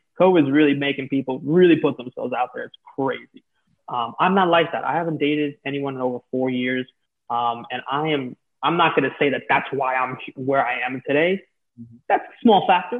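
This man has a plain, everyday voice with an American accent and fairly high pitch. He talks at a fairly quick pace with ordinary pitch variation. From New York City. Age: 20s. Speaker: talent manager for influencers. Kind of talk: casual interview.

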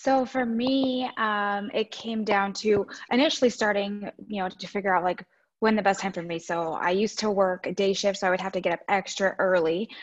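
A woman talks at a moderate pace and medium pitch. She has an unremarkable speaking voice with ordinary pitch variation. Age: 30s. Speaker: registered nurse and home fitness coach. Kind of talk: casual interview.

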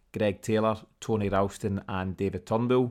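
With a Scottish accent, a man speaks at a fairly low pitch. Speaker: podcast host. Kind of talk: casual sports podcast bulletin. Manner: conversational, slightly hesitant with fillers.

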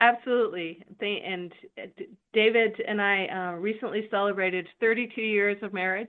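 The speaker has a plain, everyday voice. Delivery is at a moderate pace with fairly even intonation. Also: woman, medium pitch for a woman. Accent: American. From California. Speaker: army general. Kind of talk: interview.

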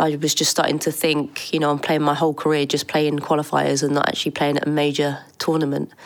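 A woman speaks very fast in a very deep, low pitch, monotone and flat, with hardly any pauses and very even loudness. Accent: English. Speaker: former footballer. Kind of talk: interview.

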